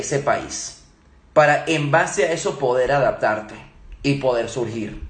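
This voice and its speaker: A man's lively intonation comes through with audible room echo. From Venezuela and Germany. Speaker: leadership trainer. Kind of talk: live Q&A talk. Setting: Instagram live stream.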